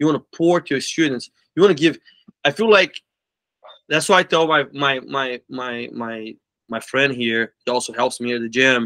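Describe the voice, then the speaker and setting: A man with a Portuguese accent speaks at a medium pitch in a bright, sharp tone, his loudness swinging widely. The sound is dry with no echo over a quiet background, and he takes long, frequent pauses. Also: ordinary pitch variation, moderate pace. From Brazil, Belo Horizonte. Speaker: martial arts school owner. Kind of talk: interview. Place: office. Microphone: video call.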